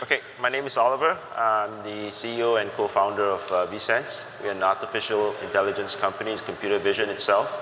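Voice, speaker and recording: A man's fairly low voice at a fairly quick pace, hardly any pauses, fairly even intonation, and noticeable background noise. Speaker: startup CEO. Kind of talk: panel discussion.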